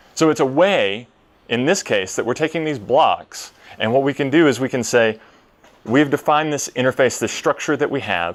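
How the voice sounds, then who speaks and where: A man with a Tennessee accent speaks at a fairly quick pace and a medium pitch. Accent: Tennessee Southern. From US South, Tennessee. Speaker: software developer, conference speaker. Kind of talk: conference talk. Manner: hesitant, many fillers.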